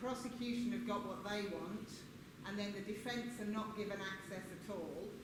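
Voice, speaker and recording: Over noticeable background noise and audible room echo, a woman speaks at a moderate pace. Her fairly high voice keeps a fairly even intonation. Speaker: audience member. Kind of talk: audience question. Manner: loud. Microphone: no microphone.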